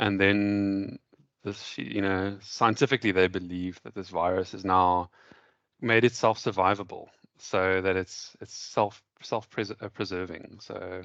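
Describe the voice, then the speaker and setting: A man speaks slowly in a fairly low, monotone, flat voice with big swings in loudness. The sound is dry and close, with no echo. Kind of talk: casual chat.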